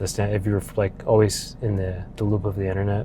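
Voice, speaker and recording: The voice has a dark, mellow tone and sounds somewhat breathy. It moves at a moderate pace with monotone, flat intonation. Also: man. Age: 20s. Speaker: vlogger. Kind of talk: casual monologue. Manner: casual, with many fillers.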